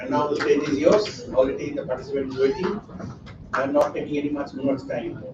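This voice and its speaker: Speaking at a fairly quick pace with a Bengali accent, a man is heard with audible room echo and noticeable background noise. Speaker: academic conference organizer. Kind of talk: conference opening remarks.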